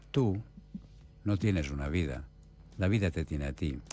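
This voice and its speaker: Lively intonation carries a man's speech along at a moderate pace. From Spain. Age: 70s. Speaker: palliative care doctor. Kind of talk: radio interview.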